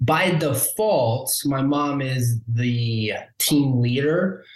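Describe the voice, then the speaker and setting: The speaker has an American accent and sounds somewhat breathy. Audible room echo surrounds the voice. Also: man. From Omaha, Nebraska. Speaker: realtor. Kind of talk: interview conversation.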